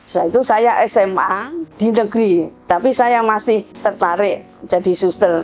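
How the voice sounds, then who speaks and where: A woman's speech shows ordinary pitch variation while music plays behind it. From Indonesia, Yogyakarta. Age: 70s. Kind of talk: personal testimony. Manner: halting.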